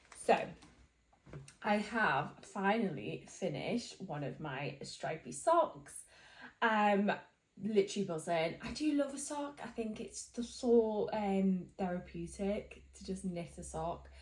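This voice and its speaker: A woman speaks very slowly at a medium pitch with vocal fry, her pitch swinging very widely and her loudness rising and falling sharply. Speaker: knitting vlogger. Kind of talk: casual chat.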